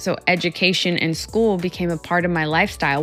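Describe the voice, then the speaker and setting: Music plays in the background while a woman talks at a fairly quick pace in a fairly low pitch. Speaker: psychologist and keynote speaker. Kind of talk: motivational talk to camera.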